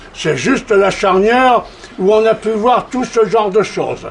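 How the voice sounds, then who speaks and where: A man talks in a high pitch while noticeable background noise fills the clip. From France. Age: 80s+. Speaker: war veteran and political speaker. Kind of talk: lecture. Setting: stage with audience. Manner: animated, with frequent repetitions.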